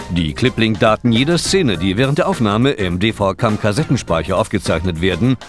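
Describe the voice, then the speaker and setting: Over music in the background, a man at medium pitch speaks with very wide pitch swings. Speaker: narrator. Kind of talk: corporate promotional narration. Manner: exaggerated pronunciation of English terms.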